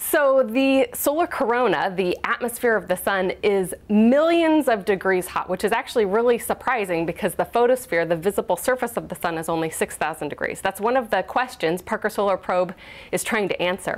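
With a Pacific Northwest accent, the speaker talks at a fairly quick pace with hardly any pauses. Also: woman, lively intonation. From Washington state, US Pacific Northwest (Kent); Washington state. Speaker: space scientist. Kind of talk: TV news interview. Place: studio. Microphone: lapel.

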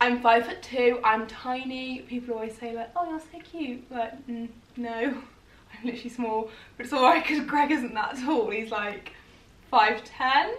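With an English accent, a woman talks at a high pitch and a fairly slow pace, showing big swings in loudness, ordinary pitch variation and audible room echo. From England. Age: 20s. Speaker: YouTuber. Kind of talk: casual chat. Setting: at home on sofa. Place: home room. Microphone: camera far.

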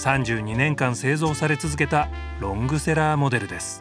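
With music playing behind him, a man speaks at a medium pitch, his voice rising and falling in very wide swings. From Tokyo, Japan. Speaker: TV narrator, actor. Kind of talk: TV documentary narration.

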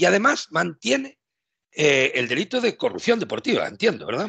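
Against a quiet background, a man talks with a bright, sharp tone and vocal fry. His pitch swings very widely. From Spain, Galicia. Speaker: youtube channel host. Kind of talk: casual interview. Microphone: headset.

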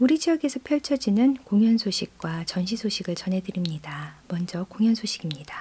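A woman speaks at a moderate pace with a warm, somewhat breathy, dark and mellow tone, hardly any pauses, and very wide pitch swings. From South Korea. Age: 40s. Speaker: radio host and composer; radio host. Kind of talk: radio music programme presenting. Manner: warm, conversational. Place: studio. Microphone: studio mic.

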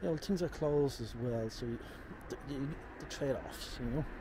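Loud background noise surrounds a man whose voice is dry, with no echo. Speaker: walking tour vlogger. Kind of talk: casual vlog chat. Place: street. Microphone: phone near.

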